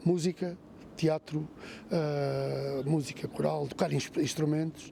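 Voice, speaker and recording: The speaker is a man. His pitch is fairly high. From Portugal. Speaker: retired police chief. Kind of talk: interview testimony.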